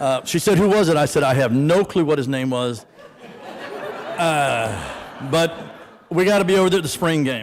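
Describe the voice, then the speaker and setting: Lively intonation in an American accent at a moderate pace, with long, frequent pauses and noticeable background noise. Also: man, fairly high pitch for a man. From Florida. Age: 60s. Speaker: award recipient. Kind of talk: acceptance speech. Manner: conversational.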